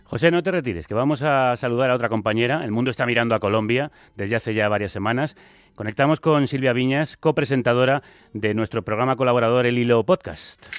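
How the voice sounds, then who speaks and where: At a very fast pace, the voice shows ordinary pitch variation in a dry, close sound with no echo over a quiet background. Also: man, medium pitch for a man. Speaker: radio host. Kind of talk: radio interview.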